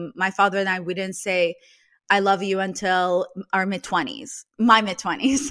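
A woman with a Russian accent speaks at a medium pitch in a bright, sharp tone, her intonation fairly even. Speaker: podcast host and meme creator. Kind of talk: casual interview conversation.

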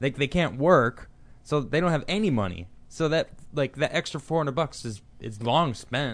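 This man has an unremarkable speaking voice. His pitch is fairly high, and he keeps a moderate pace. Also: lively intonation. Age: 30s. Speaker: podcast co-host. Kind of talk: casual chat; reading aloud. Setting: studio.

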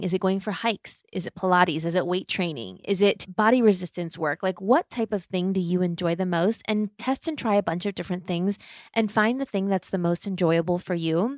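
In a very clean recording with a silent background and a dry, close sound with no echo, a woman with an unremarkable speaking voice talks at a fairly quick pace, her medium pitch showing ordinary variation. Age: 30s. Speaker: lifestyle podcast host and entrepreneur. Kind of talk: solo Q&A monologue.

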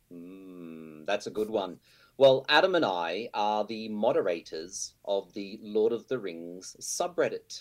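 Speaking very slowly in an Australian accent, a man with a fairly low pitch shows big swings in loudness. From Australia, Brisbane. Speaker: online forum moderator. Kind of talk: casual chat. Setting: video call.

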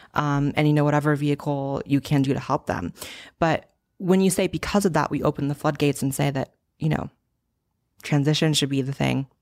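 A woman's very deep, low voice comes through dry and close with no echo, on a very clean recording with a silent background. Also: fairly quick pace. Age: 20s. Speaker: YouTuber and political commentator. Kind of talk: casual interview.

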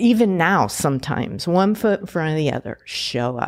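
A woman with an American accent has an unremarkable speaking voice at a fairly low pitch. She talks at a moderate pace on a very clean recording with a silent background. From Pasadena, California. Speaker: entrepreneur, former dancer and nutritionist. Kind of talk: interview.

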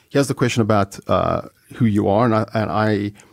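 The sound is dry and close, with no echo, as a man talks. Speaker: podcast host, speaker. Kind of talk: interview, casual chat. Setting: studio.

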